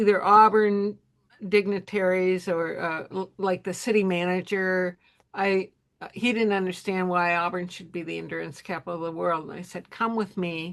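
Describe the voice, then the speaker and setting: The background is quiet. A woman speaks with monotone, flat intonation. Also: medium pitch for a woman, moderate pace, big swings in loudness. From Southern California. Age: 70s. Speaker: author and race co-founder. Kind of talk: podcast interview.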